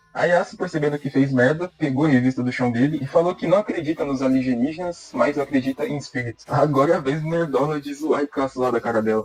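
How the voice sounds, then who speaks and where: At a very fast pace and with hardly any pauses, a man speaks in a fairly high voice with ordinary pitch variation, the sound dry and close with no echo but with noticeable background noise. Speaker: anime recap narrator. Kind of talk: scripted narration. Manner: casual, jokey.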